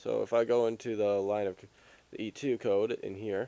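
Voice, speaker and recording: At a fairly quick pace, a man talks with a medium pitch and a dark, mellow tone. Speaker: game tutorial youtuber. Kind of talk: tutorial. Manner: halting, self-interrupting.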